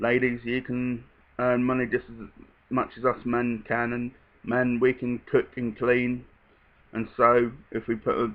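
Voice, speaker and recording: A man with a slight British accent speaks at a moderate pace. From England. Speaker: vlogger. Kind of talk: casual monologue. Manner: hesitant, many fillers.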